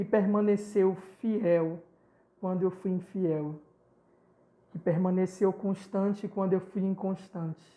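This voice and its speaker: Speaking very slowly with long, frequent pauses, a man's high voice has a dark, mellow tone and monotone, flat intonation. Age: 30s. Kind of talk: testimony.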